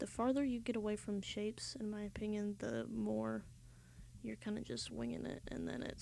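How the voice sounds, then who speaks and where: The speaker is soft-spoken, with an American accent. The pace is moderate. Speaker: art streamer. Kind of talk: live-stream drawing tutorial. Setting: live stream. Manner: casual, hesitant with fillers.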